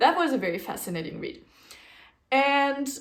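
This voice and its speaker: This woman talks with a German-speaking European accent. Her intonation is lively. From German-speaking region, grew up speaking a German dialect. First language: German dialect (Swiss or similar); Standard German second. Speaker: knitting podcaster. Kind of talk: casual chat. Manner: casual, with fillers and self-corrections.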